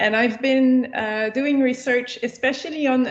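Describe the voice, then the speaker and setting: A woman with a French accent reads at a fairly slow pace with fairly even intonation. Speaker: researcher and lecturer. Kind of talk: lecture. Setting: video call.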